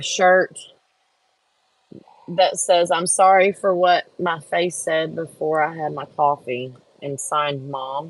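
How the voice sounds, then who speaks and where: The speaker, with an American accent, talks at a very slow pace with long, frequent pauses. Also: woman, fairly low pitch for a woman. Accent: Texas accent, muddled. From Texas, Houston area. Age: 50s. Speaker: crafter and livestream host. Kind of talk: casual live-stream chat. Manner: casual, chatty.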